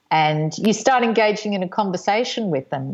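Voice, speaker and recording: Over a quiet background, a woman with an Australian accent speaks at a moderate pace in a medium pitch with ordinary pitch variation. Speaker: singer-songwriter and sculptor. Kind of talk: interview.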